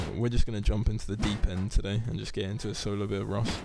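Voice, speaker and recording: Audible room echo surrounds a man speaking in a dark, mellow tone. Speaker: gaming streamer. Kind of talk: live stream commentary.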